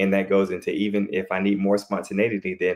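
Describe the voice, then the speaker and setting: A man at a fairly low pitch and a fairly quick pace. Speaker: relationship coach. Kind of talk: live panel discussion. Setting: livestream. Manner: fast; animated.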